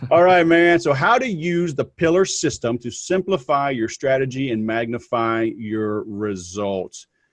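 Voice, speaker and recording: A man with a Southern US accent, medium pitch, very wide pitch swings, a fairly slow pace and hardly any pauses, against a quiet background. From US South. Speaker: podcast host. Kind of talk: casual interview. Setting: video call.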